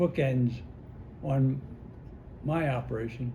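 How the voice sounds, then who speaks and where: The voice is somewhat breathy, in an American accent, moving at a very slow pace with ordinary pitch variation. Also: man. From United States. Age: 80s+. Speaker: war veteran. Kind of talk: interview answer.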